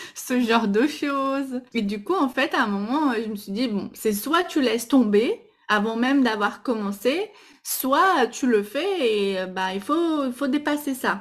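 A woman's high voice at a very slow pace, lively in intonation, with a slight Brazilian accent. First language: Portuguese (speaking French). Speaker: Instagram stories coach. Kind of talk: podcast interview. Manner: hesitant, with fillers.

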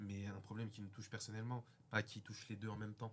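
An ordinary speaking voice at a fairly quick pace. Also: man. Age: 20s. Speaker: guest. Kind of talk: casual debate.

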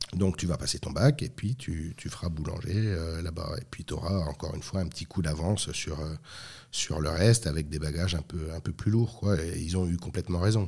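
A dark, mellow, somewhat breathy tone on a very clean recording with a silent background. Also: man, very deep, low pitch for a man, ordinary pitch variation, moderate pace. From France. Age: 40s. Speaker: master baker and entrepreneur. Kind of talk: interview.

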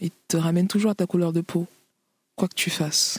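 Heard as a dry, close sound with no echo, a woman's somewhat breathy, fairly low voice holds a monotone, flat intonation. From Cameroon, then Paris region (93). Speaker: author, rapper and DJ. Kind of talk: interview. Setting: remote duplex link. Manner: halting, frequent repetitions.

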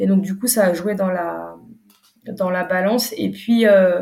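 This woman's voice is somewhat breathy, with a dark, mellow tone and medium pitch, moving at a fairly slow pace. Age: 30s. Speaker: entrepreneur, brand founder. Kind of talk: interview. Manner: hesitant, many fillers.

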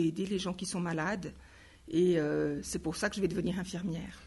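A woman with vocal fry, fairly even intonation and a fairly quick pace. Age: 50s. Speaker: nursing lecturer. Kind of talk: interview.

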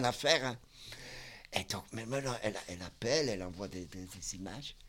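A man speaks at a moderate pace with lively intonation. His loudness swings widely. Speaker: psychiatric clinic worker. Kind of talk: casual interview. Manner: halting.

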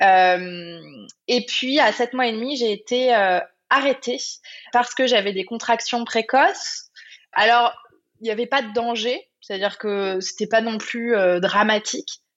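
A woman speaks at a very slow pace with long, frequent pauses, using a fairly high pitch and ordinary pitch variation. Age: 30s. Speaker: entrepreneur and life coach. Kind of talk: casual interview. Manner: hesitant, many fillers.

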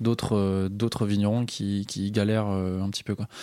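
In a very clean recording with a silent background, the voice is dark and mellow, fairly slow, and flat in a monotone. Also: man. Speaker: podcast host. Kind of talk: interview.

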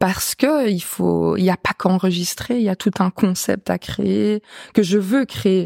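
A woman with a medium pitch and a dark, mellow tone speaks at a fairly slow pace with ordinary pitch variation in a dry, close sound with no echo. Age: 20s. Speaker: singer. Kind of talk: casual chat.

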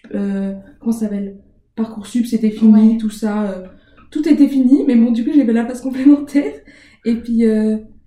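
The voice is somewhat breathy, with a dark, mellow tone. It moves at a fairly slow pace. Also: woman, fairly high pitch for a woman, ordinary pitch variation. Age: 20s. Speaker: master's student. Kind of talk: casual interview. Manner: hesitant, many fillers.

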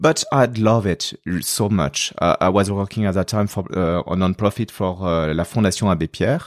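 A man speaks at a moderate pace in a fairly low pitch. The recording is very clean, with a silent background and a dry, close sound with no echo. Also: ordinary pitch variation. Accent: French. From France. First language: French. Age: 40s. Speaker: nonprofit fundraising executive. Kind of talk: podcast interview. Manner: halting, with frequent fillers and repetitions.

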